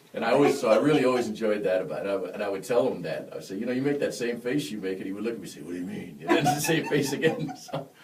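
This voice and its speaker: Amid noticeable background noise, a man speaks at a very fast pace with hardly any pauses and big swings in loudness. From western New York (Buffalo), born in Yonkers. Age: 40s. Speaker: jazz trumpet player. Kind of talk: casual interview chat. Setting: studio, live-streamed. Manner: animated storytelling.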